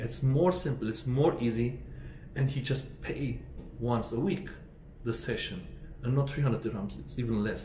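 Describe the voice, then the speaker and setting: Moderate pace and ordinary pitch variation, with audible room echo and light background noise. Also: man. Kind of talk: casual vlog chat. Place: home room.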